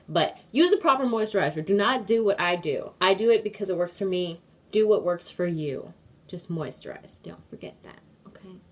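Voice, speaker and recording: Her medium-pitched voice has lively intonation and big swings in loudness, marking a woman speaking. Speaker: beauty vlogger. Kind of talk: tutorial. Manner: fast; casual, filler-heavy.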